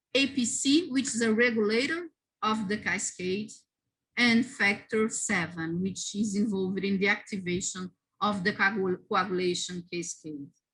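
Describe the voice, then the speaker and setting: A woman speaks at medium pitch with a non-native accent. Her intonation is lively and her pace moderate. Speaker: immunology researcher, lab group coordinator. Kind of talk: conference talk; Q&A answer. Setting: virtual symposium. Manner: halting, with self-corrections.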